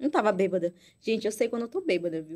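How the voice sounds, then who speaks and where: A woman speaks with lively intonation at a fairly high pitch. The recording is very clean, with a silent background. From Amazonas, Brazil. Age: 20s. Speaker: beauty pageant queen. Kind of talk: casual chat.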